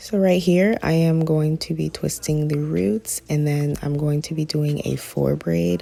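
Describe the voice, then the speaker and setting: This woman's voice is very deep and low. She speaks at a fairly slow pace with lively intonation. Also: hardly any pauses. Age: 20s. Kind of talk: hair tutorial talk to camera. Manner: casual.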